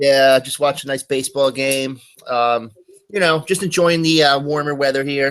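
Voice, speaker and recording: Speaking at a moderate pace in a New York accent, a man uses fairly even intonation and a fairly high pitch. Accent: New York area. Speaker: call-in participant. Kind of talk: casual chat.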